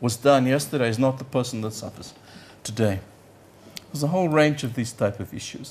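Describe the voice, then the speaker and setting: A man speaks at a medium pitch and a fairly quick pace, somewhat breathy, with lively intonation and big swings in loudness. His long, frequent pauses carry audible room echo. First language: Yiddish. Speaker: economics professor. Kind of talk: conference lecture. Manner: halting, repeats words.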